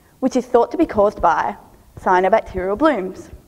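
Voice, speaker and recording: With an Australian accent, a woman speaks at a moderate pace with lively intonation. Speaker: PhD researcher. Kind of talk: three-minute thesis competition talk.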